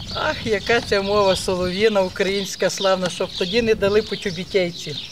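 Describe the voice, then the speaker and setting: A woman's voice at a moderate pace with fairly even intonation, over noticeable background noise. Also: medium pitch for a woman. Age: 60s. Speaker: village resident. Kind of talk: casual chat.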